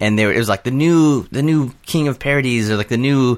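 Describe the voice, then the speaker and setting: A man's plain, everyday voice with an American accent, at a fairly quick pace with ordinary pitch variation, on a very clean recording with a silent background. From Southern California. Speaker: filmmaker and video creator. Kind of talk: casual chat.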